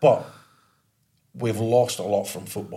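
Scottish-accented man with a fairly low pitch, a dark, mellow tone, vocal fry and a fairly slow pace. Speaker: podcast co-host, ex-footballer. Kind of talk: casual chat.

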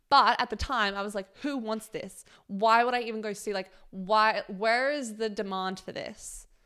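A woman with an Australian accent speaks at a moderate pace in a fairly high voice. Her tone is bright and sharp, and the recording is very clean with a silent background. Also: fairly even intonation. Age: 20s. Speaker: podcast co-host. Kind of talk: casual chat. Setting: home recording.

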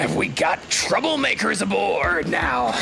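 A gravelly, put-on character voice speaks at a fairly slow pace. Background noise is clearly heard. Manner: gruff, suspicious.

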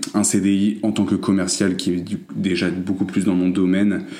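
A dark, mellow tone with fairly even intonation and audible room echo. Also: man. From France. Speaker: recent graduate. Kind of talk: casual interview.

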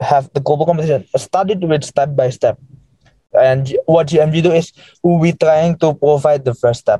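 A man at a fairly high pitch with an Indonesian accent and a dark, mellow tone, moderate in pace, very even in loudness, in a dry, close sound with no echo. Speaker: education startup founder. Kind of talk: interview conversation. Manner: hesitant with many fillers.

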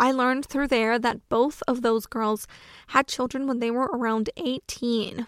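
A woman at a high pitch and moderate pace, with an American accent, dry, close sound with no echo, and a very clean recording with a silent background. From US South. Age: 20s. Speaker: podcast host. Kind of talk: solo podcast monologue.

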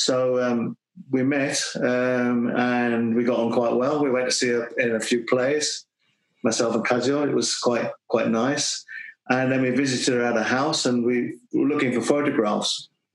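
A man with a British accent speaks at a medium pitch and a fairly slow pace. His intonation is monotone and flat, and his loudness stays very even. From UK. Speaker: kendo teacher and author. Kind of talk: casual interview.

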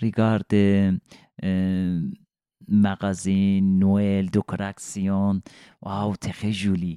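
In an Iranian accent, a man speaks at a very slow pace with long, frequent pauses, monotone, flat intonation and a dark, mellow tone, in a dry, close sound with no echo on a very clean recording with a silent background. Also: fairly low pitch for a man. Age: 40s. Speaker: refugee telling his story. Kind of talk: personal testimony in interview. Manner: halting, searching for words.

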